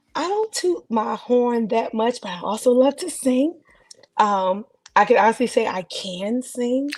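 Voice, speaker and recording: At a fairly slow pace, a woman with an American accent speaks in a high pitch with lively intonation. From New Jersey, Newark. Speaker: podcast guest, gospel singer. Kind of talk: casual chat. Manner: loud.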